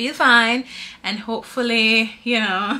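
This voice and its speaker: A woman speaks in a raised, projected voice. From Jamaica and Anguilla. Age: 30s. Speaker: vlogger. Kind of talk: casual talk to camera. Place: home room. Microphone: camera far.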